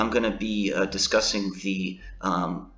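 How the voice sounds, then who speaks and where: Over music in the background, a man talks at a fairly slow pace in a fairly low voice with fairly even intonation. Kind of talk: gaming tutorial voice-over. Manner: hesitant, many filler words.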